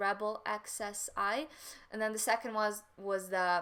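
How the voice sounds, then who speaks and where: A woman speaks with a Ukrainian accent at a fairly high pitch. Her tone is bright and sharp. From Western Ukraine. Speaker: photographer. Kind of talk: live stream Q&A chat.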